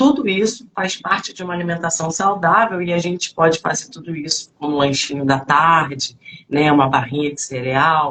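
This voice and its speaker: This woman's voice sits fairly low and moves at a moderate pace, with ordinary pitch variation. She speaks with hardly any pauses. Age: 40s. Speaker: fitness coach. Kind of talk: live stream talk. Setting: online live stream. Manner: halting, many fillers.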